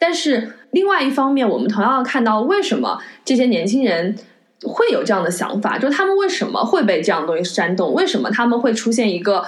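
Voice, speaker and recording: A woman's fairly high voice at a fairly quick pace, with very wide pitch swings, very even loudness and noticeable background noise. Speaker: podcast host. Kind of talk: casual film-discussion podcast chat. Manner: earnest, reflective.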